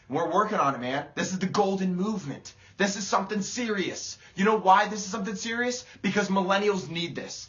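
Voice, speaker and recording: Loud and at a fairly quick pace, the speaker talks with an American accent over noticeable background noise. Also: man. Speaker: motivational speaker. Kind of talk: motivational livestream talk. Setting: live video stream. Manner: animated.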